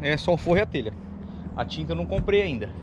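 A man is speaking over noticeable background noise. The sound is dry, without echo. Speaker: rural builder vlogger. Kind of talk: casual vlog chat. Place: open country. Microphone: phone near.

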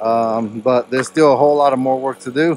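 A man at a moderate pace with fairly even intonation, a dry sound with no echo and light background noise. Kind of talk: casual vlog chat. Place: open country. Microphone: phone near.

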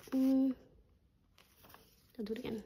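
Monotone, flat intonation from a woman, with noticeable background noise behind her. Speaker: budgeting YouTuber. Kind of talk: casual chat, cash stuffing tutorial. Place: home room. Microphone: phone near.

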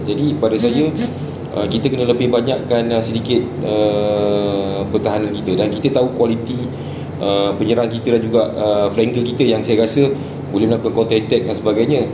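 Over clear background noise, a man talks fairly quickly at a fairly low pitch with fairly even intonation.

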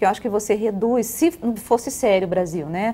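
Fairly quick and fairly high-pitched, a woman's voice comes through. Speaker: political commentator, blogger. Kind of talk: televised political panel discussion. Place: studio.

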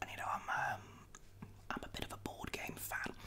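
A soft-spoken man whispering over noticeable background noise. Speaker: vlogger. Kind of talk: casual vlog chat. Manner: soft close-mic ASMR whisper. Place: kitchen. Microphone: studio mic.

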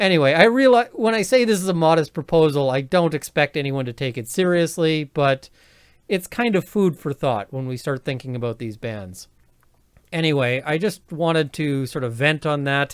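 A man with a Canadian accent speaks at a moderate pace, his pitch fairly high. His intonation is lively, and the background is quiet. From Canada. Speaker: lawyer and video commentator; lawyer, video commentator. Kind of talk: legal commentary monologue. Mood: opinionated, venting. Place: home room. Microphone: webcam.

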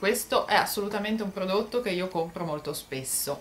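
A woman is speaking. Her delivery is fairly quick. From Italy, Genoa. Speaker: YouTuber. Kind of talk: product haul vlog. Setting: bedroom at home. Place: home room. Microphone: phone near.

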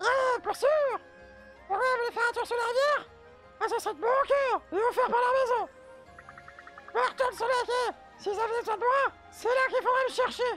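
Speech at a moderate pace comes with long, frequent pauses as clear music plays in the background. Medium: fan dub. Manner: jolly, boastful.

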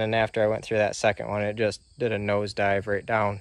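The speaker is a man. His voice sounds dry with no echo, over a quiet background. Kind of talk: casual vlog chat. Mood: wry, self-deprecating. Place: garden. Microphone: phone near.

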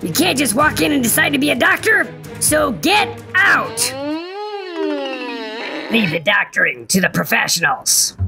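A cartoonish character voice talks at a moderate pace. Music plays clearly in the background. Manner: stern.

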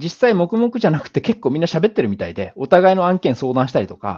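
A man speaks with vocal fry in a dark, mellow tone, his fairly high pitch swinging very widely. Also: quiet background. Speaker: business founder and speaker; speaker. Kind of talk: lecture. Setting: online video call with screen share. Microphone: video call.

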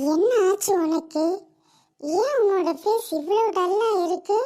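This is a squeaky, cartoonish character voice. It moves at a fairly slow pace. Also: woman, extremely high pitch for a woman.

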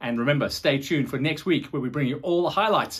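The background is quiet behind a man's speech. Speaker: show host. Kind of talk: show presenting to camera. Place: studio. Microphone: lapel.

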